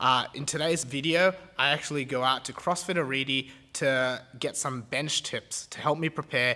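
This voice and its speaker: A man speaks with a bright, sharp tone at a moderate pace. His pitch varies in an ordinary way. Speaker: gym coach, video host. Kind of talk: casual vlog intro. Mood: grateful, lightly self-mocking. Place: gym. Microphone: phone near.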